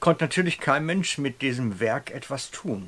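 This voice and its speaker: Here a man at medium pitch has an ordinary speaking voice. He talks at a fairly slow pace. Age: 50s. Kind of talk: sermon-style storytelling.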